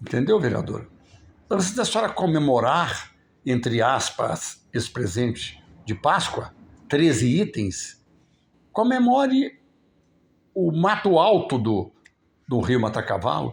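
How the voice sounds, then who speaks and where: A man at a fairly slow pace, with vocal fry, very wide pitch swings and long, frequent pauses on a very clean recording with a silent background. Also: fairly high pitch for a man. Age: 70s. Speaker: local political commentator. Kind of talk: live stream commentary. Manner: casual, conversational.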